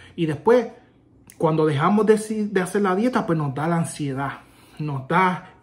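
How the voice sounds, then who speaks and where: A man with a high voice and a Puerto Rican accent talks at a moderate pace with ordinary pitch variation. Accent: Puerto Rican accent in Spanish, rusty Spanish. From Puerto Rico. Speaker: army veteran YouTuber; vlogger. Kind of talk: casual vlog; casual vlog chat. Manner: halting, with self-corrections. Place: home room. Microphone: phone near.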